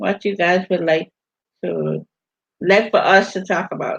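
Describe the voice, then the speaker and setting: A woman speaks with a Virgin Islands accent. Her tone is animated. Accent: Virgin Islands Caribbean. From US Virgin Islands (St. Thomas). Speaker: vlogger hosting a livestream. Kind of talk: casual livestream chat reading comments. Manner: animated, repetitive.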